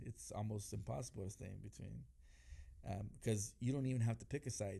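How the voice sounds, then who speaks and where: A somewhat breathy man speaks with a dark, mellow tone and fairly even intonation. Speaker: pastor. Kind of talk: interview conversation about faith. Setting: studio.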